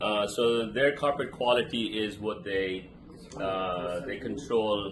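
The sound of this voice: A man with a fairly low pitch and fairly bright tone speaks slowly with fairly even intonation, and room echo is audible.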